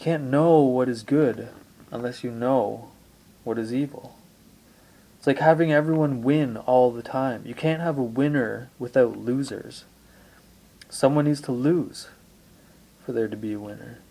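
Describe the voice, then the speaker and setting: A man speaks fairly slowly in a dark, mellow tone with fairly even intonation. His loudness swings widely, and he pauses long and often. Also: medium pitch for a man. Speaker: amateur video blogger on spirituality. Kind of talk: reflective monologue. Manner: deliberate.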